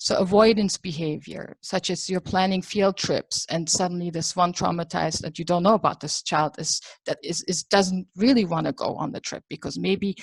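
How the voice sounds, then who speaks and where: A fairly low-pitched, somewhat breathy woman speaks at a moderate pace with ordinary pitch variation, the sound dry and close with no echo on a very clean recording with a silent background. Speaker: psychology lecturer. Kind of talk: lecture.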